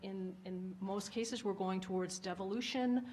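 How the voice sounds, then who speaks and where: A woman with an American accent speaks at a medium pitch and moderate pace with fairly even intonation, amid audible room echo and noticeable background noise. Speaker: former diplomat. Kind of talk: panel talk. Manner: soft-spoken.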